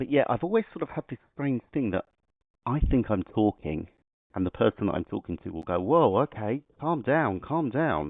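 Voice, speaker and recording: Loud and at medium pitch, a man talks at a moderate pace with very wide pitch swings. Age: adult. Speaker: podcast guest, football referee. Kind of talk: casual interview. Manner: loud without realizing; hesitant with fillers and repetitions.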